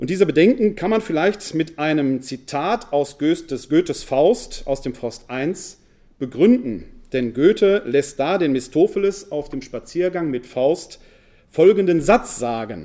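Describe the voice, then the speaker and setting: A man's very slow delivery at a fairly high pitch, dark and mellow in tone, with lively intonation. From Ruhr area, Essen. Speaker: New Testament scholar and pastoral worker. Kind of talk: lecture. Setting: lecture hall with audience.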